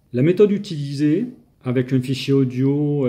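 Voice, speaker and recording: Dark, mellow tone from a man at medium pitch, with ordinary pitch variation. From southern France. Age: 60s. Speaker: language learner. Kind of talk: testimony. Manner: halting, hesitant.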